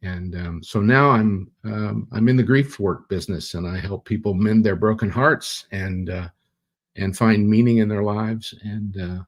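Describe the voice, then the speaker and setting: Here a man speaks at a fairly low pitch and a moderate pace. His intonation is fairly even. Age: 60s. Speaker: theologian and grief counselor. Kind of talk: interview. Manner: halting, many fillers.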